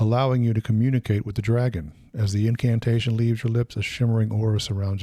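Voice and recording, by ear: Someone reads aloud in a natural voice. Their intonation is fairly even.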